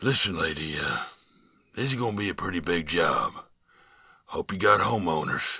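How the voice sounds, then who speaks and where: Putting on a raspy character voice, a man speaks at a fairly low pitch and a moderate pace, with long, frequent pauses. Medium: read story. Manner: gruff, sighing, blunt.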